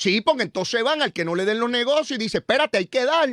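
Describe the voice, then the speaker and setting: Bright, sharp and animated, the voice moves at a fairly quick pace with lively intonation, in a very clean recording with a silent background and a dry, close sound with no echo. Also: man. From Puerto Rico (San Juan, Río Piedras). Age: 60s. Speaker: political commentator.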